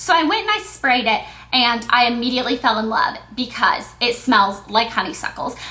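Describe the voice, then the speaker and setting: Against noticeable background noise, a woman with a high pitch speaks at a moderate pace with ordinary pitch variation. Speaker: beauty vlogger. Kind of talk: casual product review vlog. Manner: stuttering at times.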